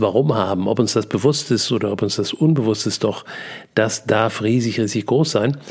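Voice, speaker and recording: Fairly low pitch from a man at a moderate pace, with ordinary pitch variation. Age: 60s. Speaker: podcast host and seminar coach. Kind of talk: personal monologue. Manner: hesitant, many fillers.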